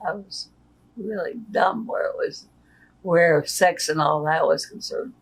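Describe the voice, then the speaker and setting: Through noticeable background noise, a woman with an American accent speaks at a very slow pace with lively intonation. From Nebraska, US Midwest. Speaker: retired worker. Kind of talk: interview. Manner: plain-spoken, short answers.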